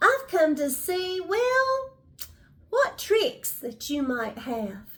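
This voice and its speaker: A woman in a put-on character voice speaks very slowly at an extremely high pitch, with very wide pitch swings. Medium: read story. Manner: smooth, scheming.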